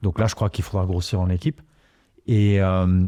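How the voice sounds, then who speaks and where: In a very clean recording with a silent background and a dry, close sound with no echo, a man talks at a moderate pace. His fairly low voice has a dark, mellow tone and fairly even intonation. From Luxembourg, Italian parents. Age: 40s. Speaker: startup incubator CEO. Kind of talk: podcast interview. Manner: hesitant, many fillers and repetitions.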